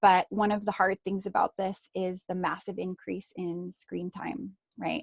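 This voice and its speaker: Heard dry and close with no echo, a woman with a normal speaking voice talks at a moderate pace and medium pitch. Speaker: energy healing teacher. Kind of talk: group healing session talk. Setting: group video call.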